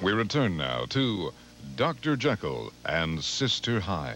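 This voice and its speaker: Music plays in the background as a man speaks at a very slow pace. His very deep, low voice moves through very wide pitch swings. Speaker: TV station announcer. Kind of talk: TV movie intro and bumper announcement. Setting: broadcast.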